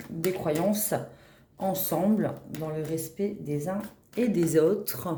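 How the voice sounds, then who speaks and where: Audible room echo and noticeable background noise surround a woman with a fairly low voice and ordinary pitch variation. She speaks at a very slow pace, with long, frequent pauses. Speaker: tarot reader. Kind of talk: tarot reading. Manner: hesitant.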